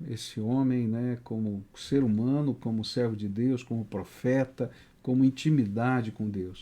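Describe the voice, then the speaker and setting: With a dark, mellow tone, a man of medium pitch speaks at a fairly slow pace with ordinary pitch variation. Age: 60s. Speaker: pastor and author. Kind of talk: interview. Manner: halting.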